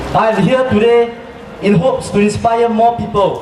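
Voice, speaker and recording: A man with a Singaporean accent speaks at a moderate pace in an extremely high pitch, with audible room echo and noticeable background noise. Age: 20s. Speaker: protest speaker. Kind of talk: rally speech. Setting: outdoor park rally.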